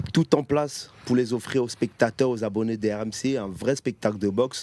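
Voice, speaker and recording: In a Cameroonian accent, a man speaks at medium pitch and a moderate pace with fairly even intonation. His tone is dark and mellow, and the sound is dry and close with no echo. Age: 30s. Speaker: professional boxer. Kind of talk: interview.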